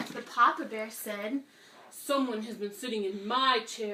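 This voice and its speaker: A woman's cartoonish character voice at a fairly high pitch and fairly slow pace. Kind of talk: children's story reading. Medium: puppet.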